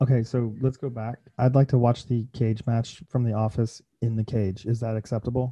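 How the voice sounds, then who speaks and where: Somewhat breathy, a man talks in a monotone, flat intonation with hardly any pauses. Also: medium pitch for a man, moderate pace. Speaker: podcast co-host. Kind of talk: casual chat.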